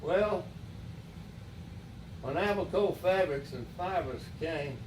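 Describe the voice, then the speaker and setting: A man's high-pitched voice in an Alabama accent at a very slow pace, with ordinary pitch variation, audible room echo and noticeable background noise. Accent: Southern US (Alabama). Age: 90s. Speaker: retired mayor. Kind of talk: interview. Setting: at home. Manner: halting.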